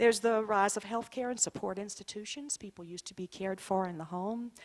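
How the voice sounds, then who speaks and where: A woman with a medium pitch, ordinary pitch variation and a normal speaking voice. The recording is very clean with a silent background and a dry, close sound with no echo. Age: 60s. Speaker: clinical social worker and author. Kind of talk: presentation to an audience.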